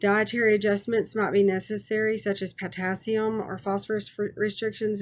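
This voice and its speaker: A woman speaks at a moderate pace. Her pitch is medium. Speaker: nursing instructor. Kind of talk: recorded lecture. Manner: hesitant with fillers.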